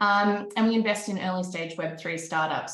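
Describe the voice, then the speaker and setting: A woman with an Australian accent speaks at a moderate pace and medium pitch, with ordinary pitch variation and audible room echo. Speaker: panel moderator, investment firm director. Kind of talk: panel discussion.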